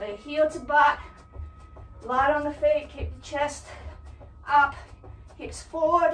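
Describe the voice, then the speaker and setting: A very slow, fairly even delivery with audible room echo and faint music in the background. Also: woman, high pitch for a woman. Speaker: fitness instructor. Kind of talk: workout instruction. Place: home room. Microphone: camera far.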